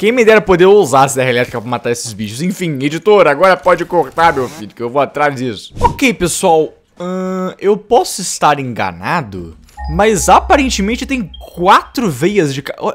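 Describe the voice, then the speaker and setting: Music plays behind a man speaking at a high pitch. His pitch swings very widely. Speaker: gaming youtuber. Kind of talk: gameplay commentary. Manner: animated.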